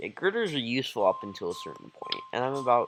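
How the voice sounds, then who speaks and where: Lively intonation from a man, with music playing behind him. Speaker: gaming video creator. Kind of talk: gameplay commentary. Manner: dull, low-energy.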